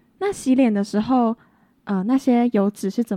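A woman speaks at a moderate pace with a dark, mellow tone and fairly even intonation. The sound is dry and close with no echo, against a quiet background. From rural Taiwan. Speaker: podcast co-host, cosmetics student. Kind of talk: casual educational chat.

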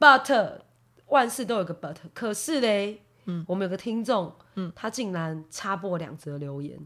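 In a very clean recording with a silent background, a woman with a bright, sharp tone and medium pitch talks at a fairly slow pace, her intonation lively and her loudness swinging widely. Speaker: podcast co-host. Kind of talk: casual chat. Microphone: new individual microphone.

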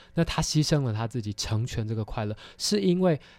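On a very clean recording with a silent background, a man talks at a fairly quick pace with lively intonation in an ordinary speaking voice. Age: 20s. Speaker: theology student and film commentator. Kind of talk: film discussion interview.

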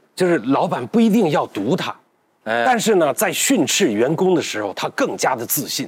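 The voice has vocal fry and very wide pitch swings at a moderate pace. The recording is very clean, with a silent background. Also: man, fairly high pitch for a man. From northern Anhui (Huaibei). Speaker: food documentary maker. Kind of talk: casual roundtable chat.

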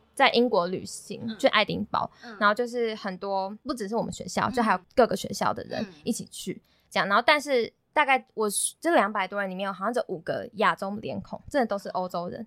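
A woman with an unremarkable speaking voice talks fairly quickly at a fairly high pitch, with ordinary pitch variation and big swings in loudness, the sound dry and close with no echo in a very clean recording against a silent background. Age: 20s. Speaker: university student. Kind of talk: casual chat.

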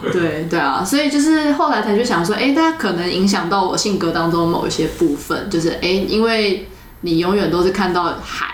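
A woman at medium pitch talks at a fairly quick pace with hardly any pauses, very even loudness and very wide pitch swings, with audible room echo and noticeable background noise. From Taiwan, Keelung and Taipei. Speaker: podcast host. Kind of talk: casual chat.

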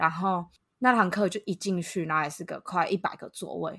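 On a very clean recording with a silent background, the sound is dry and close with no echo. A woman with an ordinary speaking voice talks at a moderate pace and medium pitch, with ordinary pitch variation. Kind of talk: casual chat.

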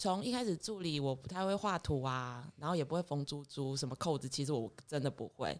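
This woman's voice sits very deep and low, with ordinary pitch variation. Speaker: clothing designer. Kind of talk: interview chat.

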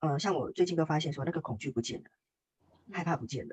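The speech is somewhat breathy and comes at a fairly quick pace. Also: woman. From Taiwan. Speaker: workshop participant sharing testimony. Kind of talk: testimony interview.

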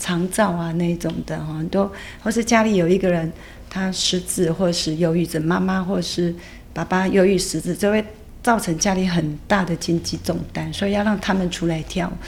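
A woman with a fairly low pitch and vocal fry speaks at a moderate pace with fairly even intonation. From Taiwan, Yilan fishing village. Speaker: dance teacher. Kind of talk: interview conversation.

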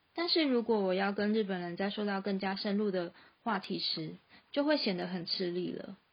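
With a Taiwanese accent, a woman speaks at medium pitch. Her pace is moderate. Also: ordinary pitch variation. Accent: Taiwanese Mandarin. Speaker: freelance graphic designer and podcast host. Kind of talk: scripted narration.

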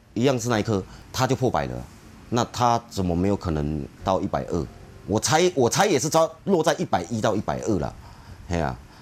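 A man's fairly low, fairly quick voice with very wide pitch swings and long, frequent pauses, music in the background. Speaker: car club forum moderator. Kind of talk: casual chat. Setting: on location.

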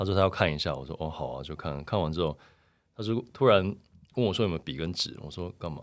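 Vocal fry runs through very fast speech with lively intonation, captured in a very clean recording with a silent background. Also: man, very deep, low pitch for a man, big swings in loudness. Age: 40s. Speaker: photographer. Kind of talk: casual interview.

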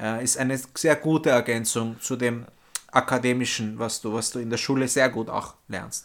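This is a normal speaking voice from a man at a medium pitch. He keeps a moderate pace with fairly even intonation. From Vienna, Austria (born in Istanbul). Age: 30s. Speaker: former exchange student. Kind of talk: interview.

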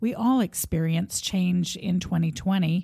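A woman with a fairly low pitch and a dark, mellow tone speaks somewhat breathily on a very clean recording with a silent background. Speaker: podcast host. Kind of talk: interview.

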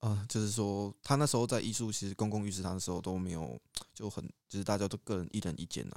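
Fairly low in pitch with ordinary variation, a man speaks at a very fast pace. The sound is dry and close, without echo. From Taiwan, Pingtung. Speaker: podcast co-host, university student. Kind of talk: casual chat.

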